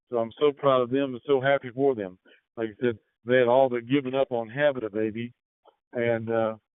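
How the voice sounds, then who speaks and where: A man's ordinary speaking voice at a fairly quick pace, medium in pitch and with fairly even intonation. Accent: American. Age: 60s. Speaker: amateur radio operator. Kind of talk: radio net check-in. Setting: radio transmission.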